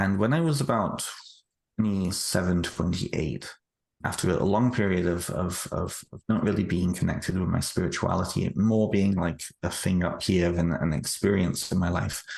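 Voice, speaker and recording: A man speaks with a British accent in a very deep, low voice. His pitch varies in an ordinary way, his loudness stays very even, and his pace is moderate. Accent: British, still noticeable. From United Kingdom. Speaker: author. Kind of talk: interview. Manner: halting, frequent repetitions.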